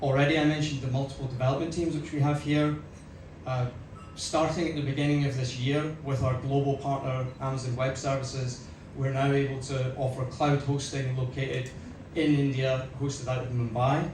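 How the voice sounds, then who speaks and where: A man with a Scottish accent, fairly high in pitch, fairly quick, in a flat monotone, with audible room echo and noticeable background noise. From Scotland. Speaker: company executive. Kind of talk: press conference speech. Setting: stage with audience.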